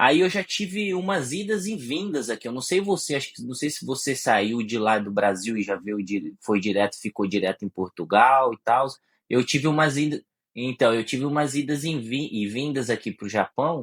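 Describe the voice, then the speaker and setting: With very wide pitch swings around a medium pitch, a man speaks at a moderate pace in a dry, close sound with no echo. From interior of Paraná, Brazil. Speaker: writer and immigrant. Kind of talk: casual chat.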